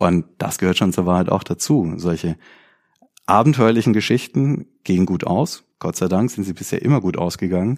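A man speaks at a very deep, low pitch with lively intonation. The recording is very clean, with a silent background. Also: moderate pace. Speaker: criminal defense lawyer and crime novelist. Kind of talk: interview conversation.

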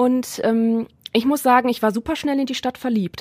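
Her speech runs at a fairly quick pace. The woman keeps her intonation fairly even. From Germany, Neuss near Düsseldorf. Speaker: guest co-host. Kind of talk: casual chat. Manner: loud.

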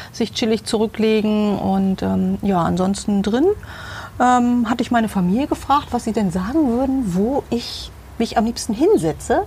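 In an ordinary speaking voice, a woman talks at a moderate pace with fairly high pitch and lively intonation. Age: 50s. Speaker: homeowner interviewed about her interior design. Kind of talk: casual interview. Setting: outdoors in her garden.

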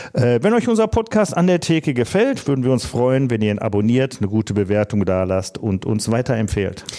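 A man with medium pitch and an unremarkable speaking voice talks with lively intonation, very even loudness and hardly any pauses. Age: 50s. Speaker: podcast co-host, former publican and home brewer. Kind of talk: casual chat.

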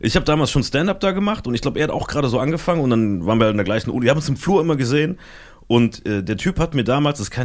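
Rushing at a very fast pace, a man's voice makes very wide pitch swings. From Germany, Saarland. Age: 20s. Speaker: podcaster and comedy agency founder. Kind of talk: casual chat.

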